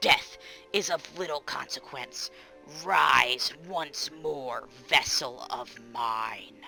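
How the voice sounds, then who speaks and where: Over clear music in the background, a put-on character voice at a low-to-middle pitch speaks at a very slow pace. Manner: ominous, commanding.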